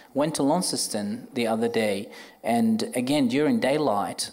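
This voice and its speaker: At a fairly slow pace, a man with a fairly high voice swings his pitch very widely, with audible room echo. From Iraq, Baghdad. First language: Arabic. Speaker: orthopaedic surgeon. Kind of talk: live panel discussion. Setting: stage with audience.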